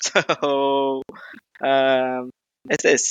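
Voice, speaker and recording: A man with a Brazilian Portuguese accent speaks at medium pitch in a monotone, flat intonation. The sound is dry and close with no echo, over a quiet background. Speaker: gaming streamer. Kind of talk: casual chat. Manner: halting.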